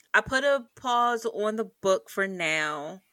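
On a very clean recording with a silent background, a woman sounds animated and playful, her pitch swinging very widely. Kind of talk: casual chat. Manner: animated, playful.

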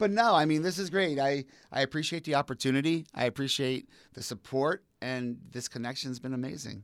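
A man with an American accent speaks fairly quickly in a fairly high voice with ordinary pitch variation. The recording is very clean, its background silent. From eastern Pennsylvania, Allentown area. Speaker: person in recovery, community advocate. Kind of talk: casual interview.

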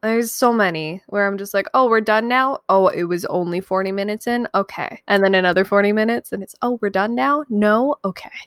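A woman talks at a fairly quick pace and medium pitch, with hardly any pauses and ordinary pitch variation. Hers is a plain, everyday voice, captured with a dry, close sound and no echo. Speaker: podcast co-host. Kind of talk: casual banter.

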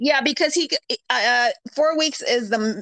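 Speaking at a moderate pace, a woman uses lively intonation in an unremarkable speaking voice. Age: 40s. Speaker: podcast host. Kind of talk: casual chat.

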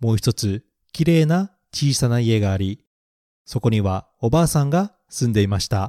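In a very clean recording with a silent background, a man with a dark, mellow tone talks at a fairly slow pace with lively intonation. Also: dry, close sound with no echo. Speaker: podcast host, picture book reader. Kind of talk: fairy-tale audiobook reading. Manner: storytelling narration, alternating English and Japanese line by line.

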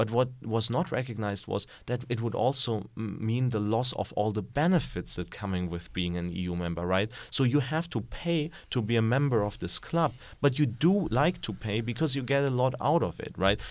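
A man with a German accent, lively intonation and a moderate pace, on a very clean recording with a silent background. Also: medium pitch for a man. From Germany. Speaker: political economy researcher. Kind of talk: interview. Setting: studio.

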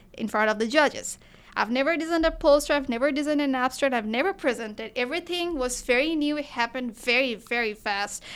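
Talking at a very fast pace, a woman with a Bengali accent has a high pitch and ordinary pitch variation. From Bangladesh. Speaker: physics student researcher. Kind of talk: interview.

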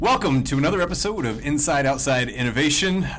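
In an upbeat, excited tone, a man speaks at a moderate pace. His pitch varies in an ordinary way. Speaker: podcast host.

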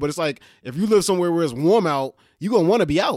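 With ordinary pitch variation, this man talks at a very fast pace. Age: 30s. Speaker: podcast host. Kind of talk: casual chat. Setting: at home, remote recording.

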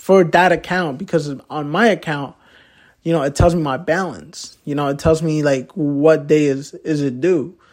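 A normal speaking voice from a man, fairly high in pitch, moderate in pace, fairly even in intonation, on a very clean recording with a silent background. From Poughkeepsie, New York, US. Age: young. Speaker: podcast host. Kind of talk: casual solo podcast talk. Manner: filler-heavy, repetitive.

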